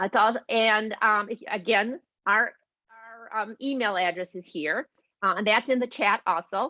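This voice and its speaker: A woman speaks at a fairly high pitch with a bright, sharp tone. The sound is dry and close with no echo, and her pitch varies in an ordinary way. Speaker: volunteer advocate. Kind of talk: presentation. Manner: fast.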